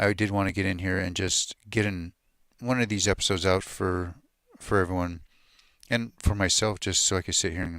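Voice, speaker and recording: A man mumbles quietly in a very deep, low voice, with fairly even intonation. His pace is fairly quick, and the recording is very clean with a silent background. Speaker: music gear youtuber, livestream host. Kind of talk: casual livestream tutorial chat. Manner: quiet, mumbling.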